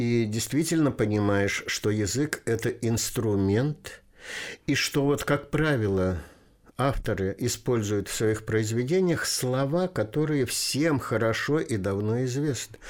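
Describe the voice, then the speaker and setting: Very slowly, a man at a medium pitch talks with lively intonation and very even loudness on a very clean recording with a silent background. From Russia, Volga region. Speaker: poet and retired teacher. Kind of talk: interview.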